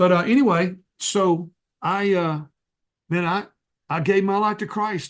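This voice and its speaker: An American accent comes through, with pitch that varies in an ordinary way. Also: man. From North Texas. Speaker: evangelist. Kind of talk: testimony. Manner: halting.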